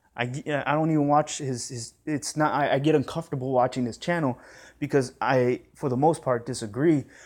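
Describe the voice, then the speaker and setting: The man talks fairly quickly. His voice sits at a medium pitch and varies in an ordinary way. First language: Spanish. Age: 30s. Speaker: boxing YouTuber. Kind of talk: response video rant. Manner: animated.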